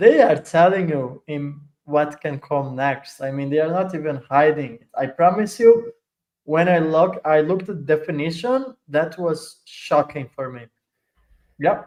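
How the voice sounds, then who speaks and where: A man's fairly high-pitched voice, fairly slow and with lively intonation. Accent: Italian. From Italy. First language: Italian. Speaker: crypto project adoption lead. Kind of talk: casual interview chat.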